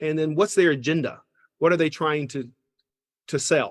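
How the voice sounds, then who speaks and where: The man's voice has a slight Southern accent and a dry, close sound with no echo. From US South, Georgia. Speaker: business school professor. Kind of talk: interview. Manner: halting.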